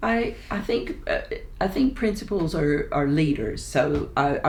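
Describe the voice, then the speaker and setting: A woman speaks with a Texan accent. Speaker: residential college principal. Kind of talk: interview answer.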